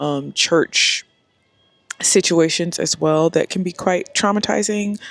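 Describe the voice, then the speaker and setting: At a very slow pace, a woman speaks with a fairly low pitch. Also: ordinary pitch variation. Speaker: lifestyle vlogger. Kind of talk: casual vlog talk to camera. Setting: outdoors by a pool. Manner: loud, speaking up over music.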